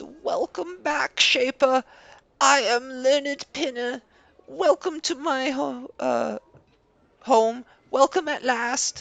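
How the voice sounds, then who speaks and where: In a put-on character voice, the speaker sounds shaky and high-pitched, moving at a very slow pace with long, frequent pauses. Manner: reverent, awestruck.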